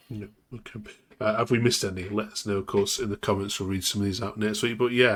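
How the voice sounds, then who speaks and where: A man with an English Midlands accent talks at a very fast pace. His fairly low voice has monotone, flat intonation. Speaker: football podcast host. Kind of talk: casual chat.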